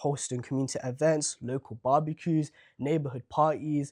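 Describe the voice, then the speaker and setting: A man with a London accent and a fairly high pitch, in a monotone, flat intonation, with a dry, close sound with no echo and a very clean recording on a silent background. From Southwark, London. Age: young. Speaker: local council candidate. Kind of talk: interview answer.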